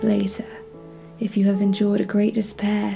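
Behind the speaker, music is playing. She is a woman talking at a moderate pace. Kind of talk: poetry reading.

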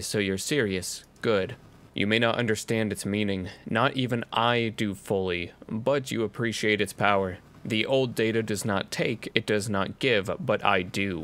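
A man puts on a character voice at a fairly low pitch, moving at a moderate pace in a very clean recording with a silent background. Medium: virtual streamer. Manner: solemn, ominous, grandiose.

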